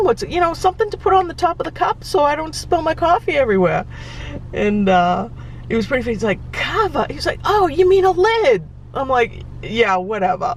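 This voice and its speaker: A woman's high-pitched voice in a Boston accent, fairly quick with very wide pitch swings, over noticeable background noise. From Boston area, Massachusetts. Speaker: travel vlogger. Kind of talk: casual vlog talk. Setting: in a car. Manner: hesitant, many fillers.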